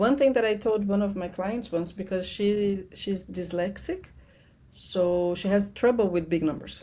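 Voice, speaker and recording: A woman speaks at a moderate pace in a medium pitch, her tone dark and mellow, with ordinary pitch variation. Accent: Portuguese. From Brazil. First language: Portuguese. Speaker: money strategist. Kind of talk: podcast interview.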